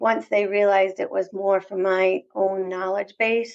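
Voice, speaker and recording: Against a quiet background, a woman with a slight Southern US accent talks with fairly even intonation. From US South. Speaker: elevator industry executive, former navy pilot. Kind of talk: interview. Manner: filler-heavy, conversational.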